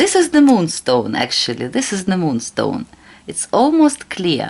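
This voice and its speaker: Noticeable background noise behind a woman with a Russian accent, medium pitch, very wide pitch swings, and a fairly slow pace. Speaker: tarot reader. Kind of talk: tarot reading tutorial. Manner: halting.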